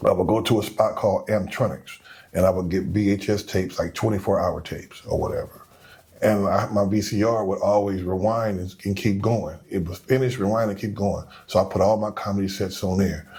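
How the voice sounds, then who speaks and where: Mumbling at a fairly quick pace, a man speaks with a fairly low pitch and fairly even intonation. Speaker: comedian. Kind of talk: casual chat. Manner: low, mumbling.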